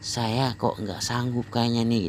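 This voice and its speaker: This man talks at a fairly quick pace in a plain, everyday voice with a medium pitch. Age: 60s. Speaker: health exercise practitioner vlogger. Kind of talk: personal testimony monologue. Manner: rambling, repetitive.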